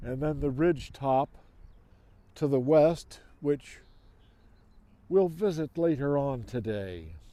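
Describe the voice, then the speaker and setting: Speaking at a very slow pace with long, frequent pauses, a man uses a fairly high voice with a dark, mellow tone and lively intonation. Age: 80s+. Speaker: tour guide. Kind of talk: walking tour narration.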